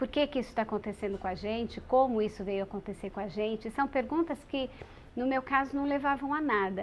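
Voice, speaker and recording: A woman's high-pitched voice moves along at a fairly quick pace, its pitch varying in an ordinary way. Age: 40s. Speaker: radio presenter living with HIV. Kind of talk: testimony.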